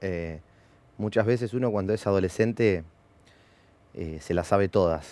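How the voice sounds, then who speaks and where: In a Rioplatense accent, a man with a fairly low pitch and a dark, mellow tone speaks at a fairly slow pace with ordinary pitch variation and long, frequent pauses, in a dry sound with no echo. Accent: Argentine Spanish (rioplatense). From Argentina, Bahía Blanca; Argentina. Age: 30s. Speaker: former racing driver and driver coach; driver coach. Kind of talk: interview. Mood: calm, reflective. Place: studio. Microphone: headset.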